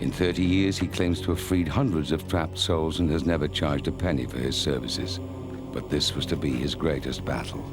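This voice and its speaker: With music in the background, a man speaks in a very deep, low voice with ordinary pitch variation and hardly any pauses. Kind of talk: documentary narration. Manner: dramatic.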